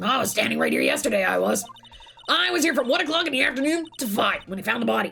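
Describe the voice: In a put-on character voice, someone races through the lines at a very fast pace, sounding raspy. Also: woman, fairly high pitch for a woman.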